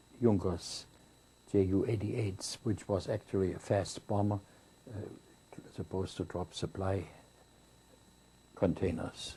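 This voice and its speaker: A somewhat breathy man with a German accent, fairly low-pitched, dark and mellow in tone, with fairly even intonation, a fairly slow pace and long, frequent pauses. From Germany. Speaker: war veteran, former Luftwaffe pilot. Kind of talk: interview answer.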